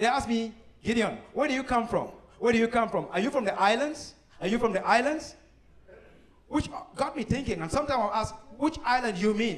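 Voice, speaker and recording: In an animated tone, a man speaks at an extremely high pitch and a fairly quick pace, with ordinary pitch variation. Long, frequent pauses break up his speech, and audible room echo surrounds it. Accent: Cameroonian. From Cameroon. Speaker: comedian. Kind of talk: stand-up. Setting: stage with audience.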